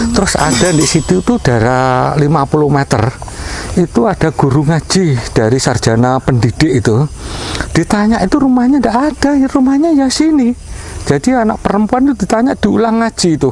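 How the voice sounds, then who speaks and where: Over noticeable background noise, a man with a high voice swings very widely in pitch while keeping his loudness very even. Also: moderate pace. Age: 60s. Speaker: local resident. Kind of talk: interview.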